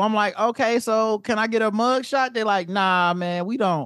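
On a very clean recording with a silent background, a man with a high voice speaks at a moderate pace with ordinary pitch variation. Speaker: podcast guest co-host. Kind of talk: casual chat.

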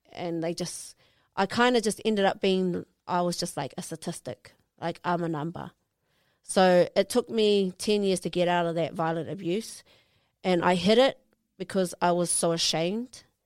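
A woman with a New Zealand accent speaks at a moderate pace, her pitch fairly low with ordinary variation. The recording is very clean with a silent background, and the sound is dry and close with no echo. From West Auckland, New Zealand. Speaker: professional boxer. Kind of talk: interview.

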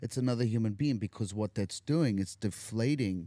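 In a South African accent, a man talks at a moderate pace. His voice is fairly low-pitched, with ordinary pitch variation. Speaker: recovering addict, actor. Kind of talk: casual chat. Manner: animated, joking.

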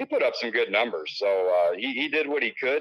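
With a Midwestern US accent, a man talks at a moderate pace. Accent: US Midwest. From Illinois. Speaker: sports director and high school football analyst. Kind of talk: sports preview breakdown.

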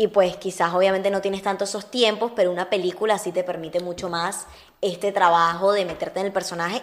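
A woman in a normal speaking voice, medium-pitched, at a fairly quick pace. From Venezuela (Uruguayan-born). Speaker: actress. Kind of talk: casual chat.

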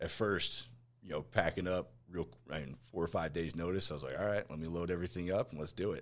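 Very deep and low, a man's voice has vocal fry, fairly even intonation and a very fast pace. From northwest New Jersey. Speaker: patient coordinator, army veteran. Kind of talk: casual interview.

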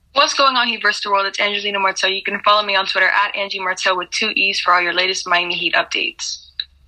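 A woman at a very fast pace with hardly any pauses, over noticeable background noise. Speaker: podcast correspondent.

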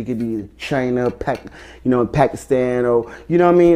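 A man in a New Jersey accent, medium pitch, dark, mellow tone and fairly quick pace. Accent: New Jersey urban American English. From New Jersey (Elizabeth). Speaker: rapper. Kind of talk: casual interview.

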